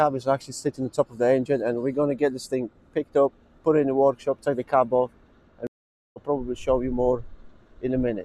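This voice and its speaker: A man talks at a very fast pace yet with long, frequent pauses, his medium-pitched voice dark and mellow in tone and monotone, flat in intonation. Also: dry, close sound with no echo. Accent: Polish. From Poland. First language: Polish. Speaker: truck repair mechanic. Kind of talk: casual vlog walkthrough.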